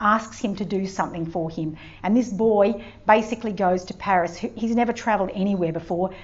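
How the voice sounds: The clip has a natural reading voice whose pitch varies in an ordinary way.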